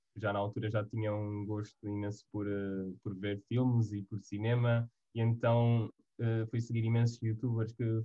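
A man with a European Portuguese accent talks at a fairly slow pace, his pitch sitting in the medium range. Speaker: university student. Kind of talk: casual chat.

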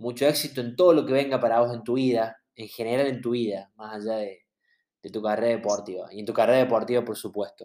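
A man talks very fast, his loudness rising and falling in big swings. His medium-pitched voice has a dark, mellow tone and fairly even intonation. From Argentina. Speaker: podcast host. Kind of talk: interview.

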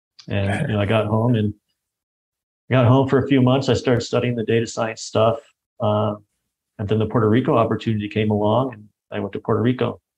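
A man with an American accent talks at a very fast pace and medium pitch, with vocal fry. His intonation is monotone and flat, broken by long, frequent pauses. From Michigan, US Midwest. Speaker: traveler sharing experiences. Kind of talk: casual interview chat.

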